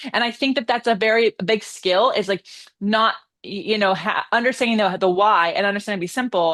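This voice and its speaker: A fairly quick, fairly high-pitched female voice with ordinary pitch variation and very even loudness. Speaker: pilates instructor and channel host. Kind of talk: casual interview chat on a live stream. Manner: fast.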